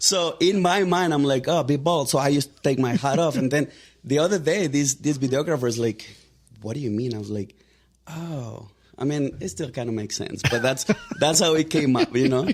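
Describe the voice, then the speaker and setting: With a Mexican accent, a man talks at a fairly quick pace, his fairly high pitch showing ordinary pitch variation. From Mexico. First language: Spanish. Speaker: real estate agent. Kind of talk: podcast interview. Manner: casual, many fillers.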